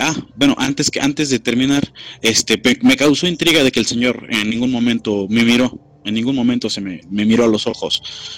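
A man speaking at a moderate pace. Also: dry, close sound with no echo. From Mexico, Querétaro. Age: 20s. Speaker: secondary school teacher. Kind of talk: casual storytelling interview. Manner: halting.

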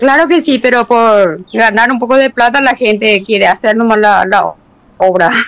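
A woman with an unremarkable speaking voice talks at a fairly high pitch and a fairly slow pace. Her pitch varies in an ordinary way while her loudness stays very even. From Paraguay, Tobatí (Cordillera). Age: 50s. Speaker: potter and sculptor. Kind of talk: interview.

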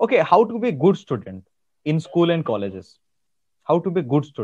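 With an Indian accent, a man speaks at a high pitch. His intonation is lively. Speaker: soft skills trainer and podcast host. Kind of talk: interview. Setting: video call. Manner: halting, many filler words.

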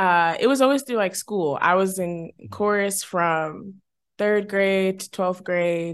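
A woman speaks at medium pitch and a fairly slow pace. The background is quiet. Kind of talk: casual interview chat.

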